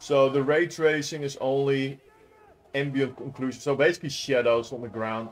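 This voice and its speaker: Music plays in the background as the speaker goes at a fairly slow pace with fairly even intonation. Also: man. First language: not English. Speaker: gaming youtuber. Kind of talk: gameplay commentary. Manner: casual, hesitant with fillers.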